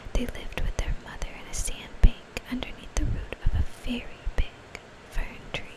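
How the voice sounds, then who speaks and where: Whispering at a moderate pace, a woman is heard through noticeable background noise. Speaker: mom who makes ASMR videos. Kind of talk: whispered ASMR story reading. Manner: whispered.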